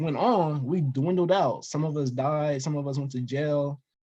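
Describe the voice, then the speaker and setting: A man's fairly high, somewhat breathy voice with an American accent and fairly even intonation. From Denver, Colorado. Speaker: investor and storytelling guest. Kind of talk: casual interview.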